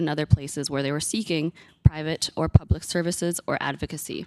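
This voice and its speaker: In a normal speaking voice, a woman talks at a fairly quick pace with ordinary pitch variation, the sound dry and close with no echo. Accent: Canadian. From Manitoba, Canada. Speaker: community worker presenting to committee. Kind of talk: public testimony. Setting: legislative committee hearing.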